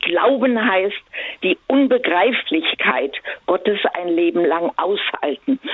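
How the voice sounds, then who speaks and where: A woman is talking. Noticeable background noise runs beneath her voice. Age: 80s+. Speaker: caller. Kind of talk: phone-in call. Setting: phone call. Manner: halting.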